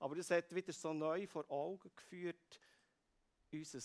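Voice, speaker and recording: Here a man speaks at a fairly slow pace. His pitch is fairly high. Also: dry, close sound with no echo. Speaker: preacher. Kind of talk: sermon.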